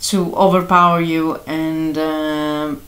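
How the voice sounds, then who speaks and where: A woman with a Greek accent is heard with audible room echo. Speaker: astrology and tarot youtuber. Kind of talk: tarot reading monologue. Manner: halting, many fillers.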